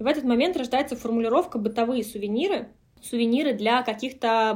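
A plain, everyday voice from a woman, fairly high in pitch, at a fairly quick pace with ordinary pitch variation, on a very clean recording with a silent background. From Russia, Moscow Oblast (near Kolomna). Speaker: brand co-founder. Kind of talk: interview conversation.

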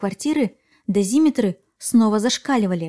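A woman speaks at a fairly slow pace in a calm tone, her voice fairly high, somewhat breathy, dark and mellow, with ordinary pitch variation. The sound is dry and close, with no echo. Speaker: podcast host. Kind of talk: true-crime narration, scripted storytelling with eerie, suspenseful build-up. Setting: podcast recording. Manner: calm, clear scripted delivery that lingers on creepy details.

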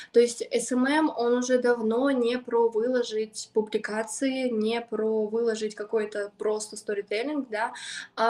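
Very slowly, a woman with a fairly high voice speaks in a monotone, flat intonation. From Siberia, Krasnoyarsk region. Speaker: SMM specialist, agency founder. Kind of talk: podcast interview.

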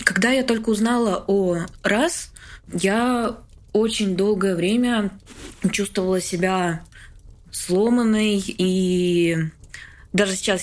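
Ordinary pitch variation in a woman's voice of medium pitch. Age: 20s. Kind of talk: interview. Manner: halting.

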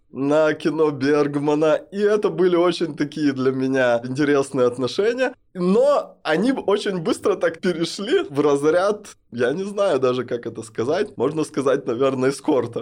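A man's voice, a normal speaking voice, pitched fairly high and carrying ordinary pitch variation. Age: 30s. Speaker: non-binary podcast guest. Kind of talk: personal testimony in interview. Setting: studio.

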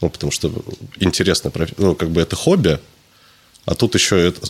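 Here a man talks with a very deep, low pitch at a fairly quick pace. His speech has long, frequent pauses. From Russia, Tula. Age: 20s. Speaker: fitness trainer. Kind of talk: casual chat.

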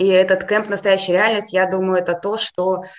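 Noticeable background noise runs under this recording. A woman talks in a medium pitch. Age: 40s. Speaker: university dean and psychologist. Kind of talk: interview.

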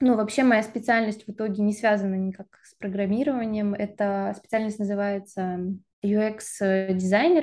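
A woman speaks at a medium pitch with fairly even intonation and a dark, mellow tone. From Siberia, Russia (Krasnoyarsk). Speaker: master's student and UX designer apprentice. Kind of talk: interview.

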